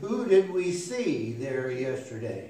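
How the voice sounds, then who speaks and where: Amid audible room echo, a man speaks at a very slow pace. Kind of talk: casual announcements to a congregation. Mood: warm, chatty. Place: church. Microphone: podium.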